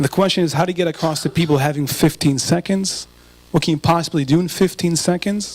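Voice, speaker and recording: Very fast speech from a man with an American accent, high-pitched, with fairly even intonation. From Israel. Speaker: speaker and photographer. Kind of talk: public talk.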